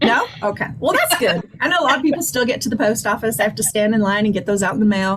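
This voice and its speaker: Over noticeable background noise, a woman talks at a very fast pace with a fairly high pitch, very wide pitch swings, and very even loudness. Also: hardly any pauses. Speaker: credit management presenter. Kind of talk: webinar Q&A discussion.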